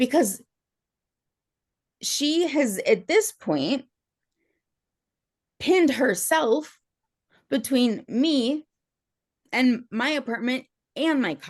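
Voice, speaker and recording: A woman's high-pitched voice with lively intonation, very slow and broken by long, frequent pauses, against a quiet background. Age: 30s. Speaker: respondent in court hearing. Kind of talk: testimony.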